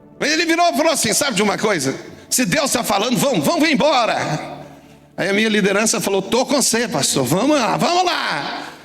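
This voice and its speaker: Amid audible room echo and noticeable background noise, an animated man with extremely high pitch and very wide pitch swings talks at a fairly quick pace with very even loudness. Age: 60s. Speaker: pastor. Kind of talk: sermon. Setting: church.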